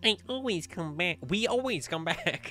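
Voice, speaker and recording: Clear music plays behind a man doing a put-on character voice at a high pitch. He speaks at a moderate pace with very wide pitch swings. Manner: eerie, taunting, repetitive.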